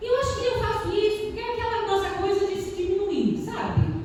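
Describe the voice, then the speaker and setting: An extremely high-pitched woman's voice with audible room echo and noticeable background noise. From Rio de Janeiro, Brazil. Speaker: doctoral student researcher. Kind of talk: academic conference talk, read from notes. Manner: casual, digressive, humorous.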